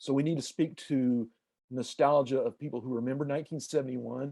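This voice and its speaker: His voice is fairly high for a man, with a dark, mellow tone. He moves at a fairly quick pace with fairly even intonation. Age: 60s. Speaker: sports editor. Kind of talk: interview.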